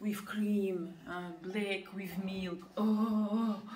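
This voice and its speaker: Loud background noise sits behind a woman who speaks at a very slow pace. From Russia. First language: Russian. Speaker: family vlogger. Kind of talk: casual chat. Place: kitchen. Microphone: camera far.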